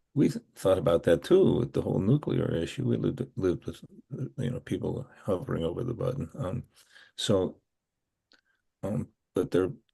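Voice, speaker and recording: Using vocal fry, a man with an American accent speaks at a moderate pace in a dark, mellow tone, his fairly low pitch making very wide swings. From Pennsylvania. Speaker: novelist and retired professor. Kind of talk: interview. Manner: halting.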